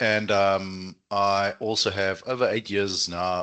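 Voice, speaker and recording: Against a quiet background, a man with a fairly low pitch speaks in a bright, sharp tone. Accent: South African. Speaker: student recruitment manager. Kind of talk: webinar presentation. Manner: animated.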